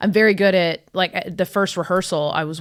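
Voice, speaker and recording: A woman speaks in a fairly low pitch with an American accent. Her intonation is fairly even. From Georgia, US South. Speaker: comedian. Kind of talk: casual chat.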